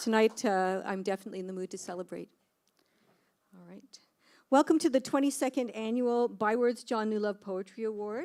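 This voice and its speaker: Big swings in loudness, ordinary pitch variation and a fairly quick pace, in a very clean recording with a silent background. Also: woman, fairly high pitch for a woman. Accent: Canadian. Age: 60s. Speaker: poetry award host. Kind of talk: ceremony hosting speech. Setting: stage with audience.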